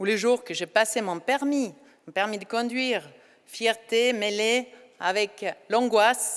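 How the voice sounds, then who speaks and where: Fairly slow speech from a woman with a fairly high pitch and a Norwegian accent, on a very clean recording with a silent background. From Norway. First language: Norwegian (speaking French). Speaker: ceremony speaker. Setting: hall with audience.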